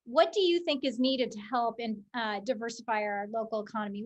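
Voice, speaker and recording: Here a woman speaks in a plain, everyday voice with a fairly high pitch. Her pace is moderate, and the background is quiet. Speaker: nonprofit economic development CEO. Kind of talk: webinar presentation.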